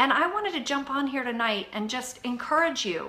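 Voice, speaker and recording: A woman speaks at a moderate pace in a high, raised and projected voice, her animated tone swinging very widely in pitch over audible room echo and noticeable background noise. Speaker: fitness coach. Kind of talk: live video chat. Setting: home live stream. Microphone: Wi-Fi issues.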